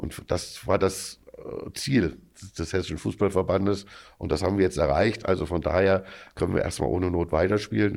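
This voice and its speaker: A man speaks at a moderate pace in a very deep, low voice with vocal fry and ordinary pitch variation. Long, frequent pauses break his speech on a very clean recording with a silent background. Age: 50s. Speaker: amateur football club official. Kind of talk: podcast interview.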